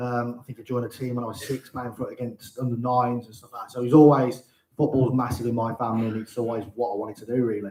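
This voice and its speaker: Very fast speech from a man at a medium pitch, monotone and flat, with big swings in loudness. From Birmingham, England. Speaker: football manager, former player. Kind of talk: live interview in front of an audience. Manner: hesitant, many fillers.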